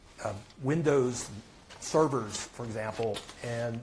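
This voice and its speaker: A man speaks with fairly even intonation. Noticeable background noise and audible room echo fill the recording. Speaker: tech analyst. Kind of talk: conference talk. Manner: halting, many fillers.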